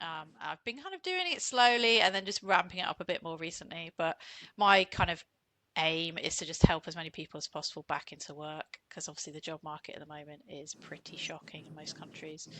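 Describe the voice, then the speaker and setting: With a British accent, a woman talks fairly quickly at a fairly low pitch, using ordinary pitch variation and big swings in loudness. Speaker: CV writer and entrepreneur. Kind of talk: casual interview chat.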